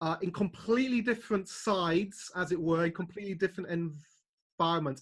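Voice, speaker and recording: This man speaks with a British accent in a high pitch, at a moderate pace with ordinary pitch variation. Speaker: channel owner interviewing his parents. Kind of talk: casual family interview.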